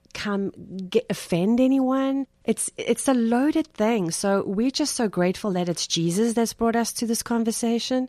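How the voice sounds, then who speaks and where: A woman with a South African accent talks at a moderate pace and fairly high pitch, in a dark, mellow tone with lively intonation. The sound is dry and close with no echo, on a very clean recording with a silent background. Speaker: podcast host and discussion leader. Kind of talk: faith-based conversation.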